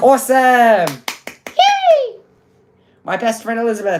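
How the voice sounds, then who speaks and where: The female-sounding voice is a squeaky, put-on character voice, high in pitch and fairly slow in pace. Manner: excited, cheery.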